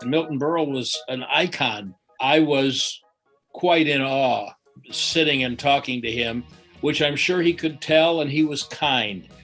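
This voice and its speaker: Over music in the background, a man speaks with a fairly high pitch and ordinary pitch variation. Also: fairly slow pace. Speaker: sports broadcaster. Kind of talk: interview answer.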